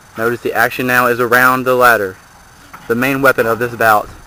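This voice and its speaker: A man talks at a very fast pace in a medium pitch. Noticeable background noise runs under him. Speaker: wrestling commentator. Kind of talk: live commentary. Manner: animated.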